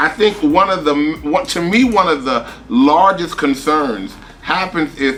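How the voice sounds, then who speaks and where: Very wide pitch swings come at a very slow pace. Noticeable background noise runs underneath. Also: man. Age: 60s. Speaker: professor. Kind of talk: panel discussion.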